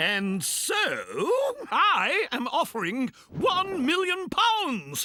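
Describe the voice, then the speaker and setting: Cartoonish character voice at an extremely high pitch, with very wide pitch swings and a very slow pace. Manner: excitable, plummy, chuckling.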